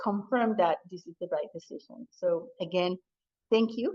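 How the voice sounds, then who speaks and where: A woman with a non-native accent, her voice dry and close with no echo. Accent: foreign. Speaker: college president. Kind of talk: public meeting remarks. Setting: hybrid community meeting, in person and Zoom. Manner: halting, with fillers.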